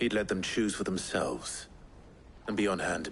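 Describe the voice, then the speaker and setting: Using a put-on character voice, a man speaks at a moderate pace with fairly low pitch, ordinary pitch variation and very even loudness, over clear background noise. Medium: short film.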